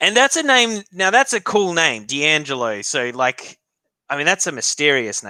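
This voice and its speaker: This man's fairly high voice has a bright, sharp tone and swings very widely in pitch at a moderate pace. The sound is dry and close, with no echo. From Australia, Victoria. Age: 30s. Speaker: hockey live streamer. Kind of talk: live reaction stream chat. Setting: live stream. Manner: casual, chatty with hesitations.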